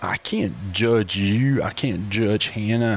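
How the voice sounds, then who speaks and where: A man at a very slow pace, fairly low in pitch, with ordinary pitch variation. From Appalachian Virginia, Grundy. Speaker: associate pastor. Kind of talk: casual chat.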